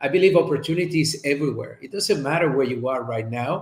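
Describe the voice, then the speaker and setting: Here a man talks with a Spanish accent in a somewhat breathy voice. His pitch is fairly high, with ordinary variation. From Colombia. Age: 50s. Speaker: chiropractor and speaker. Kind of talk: interview.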